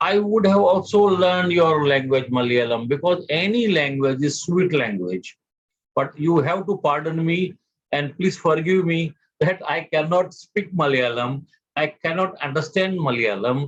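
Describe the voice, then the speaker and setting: A man speaks fairly slowly in an Indian accent, his pitch fairly high. His loudness stays very even while his intonation is lively. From India, Mumbai. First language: Gujarati. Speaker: motivational speaker. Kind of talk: speech to an audience. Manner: halting.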